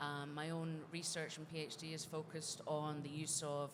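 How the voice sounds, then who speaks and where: Her very deep, low voice carries a Scottish accent and a flat monotone, with audible echo in the room. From Scotland. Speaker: games industry director and researcher. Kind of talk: conference panel discussion. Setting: stage with audience.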